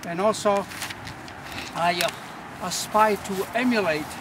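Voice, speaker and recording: Noticeable background noise sits behind a man's voice. He speaks at a high pitch with ordinary pitch variation. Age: 70s. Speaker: power walker. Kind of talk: interview. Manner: halting.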